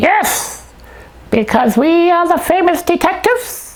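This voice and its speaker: This cartoonish character voice has an extremely high pitch. It moves at a fairly slow pace. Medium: puppet.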